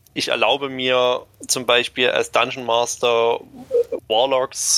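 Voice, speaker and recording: A man speaks in a monotone, flat intonation. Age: 20s. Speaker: hobby game master. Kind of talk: interview.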